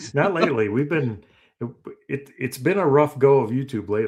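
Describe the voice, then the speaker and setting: Lively intonation and vocal fry run through speech delivered at a moderate pace. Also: man. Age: 50s. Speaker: reseller and YouTuber. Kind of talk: casual chat.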